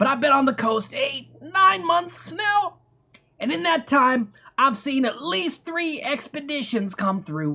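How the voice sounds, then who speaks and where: A man puts on a character voice that is nasal and strained, speaking at a moderate pace. His pitch swings very widely. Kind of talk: comic overacting. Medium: solo performance. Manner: rambling, conspiratorial.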